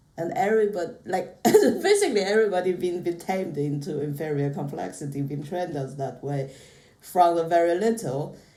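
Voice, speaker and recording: Through noticeable background noise and audible room echo, a woman with a fairly low pitch talks at a fairly quick pace with ordinary pitch variation. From China. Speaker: podcast guest. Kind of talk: casual chat.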